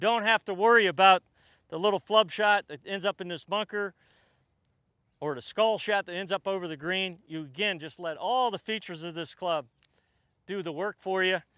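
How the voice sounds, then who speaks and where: A man with a high pitch, a bright, sharp tone and a raised, projected voice speaks at a fairly quick pace with ordinary pitch variation, in a dry, close sound with no echo on a very clean recording with a silent background. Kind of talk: product demonstration. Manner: casual.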